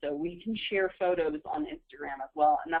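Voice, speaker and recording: A woman with a normal speaking voice, fairly low pitch, ordinary pitch variation and a moderate pace. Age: 20s. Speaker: social media consultant. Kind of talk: webinar presentation. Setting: webinar call.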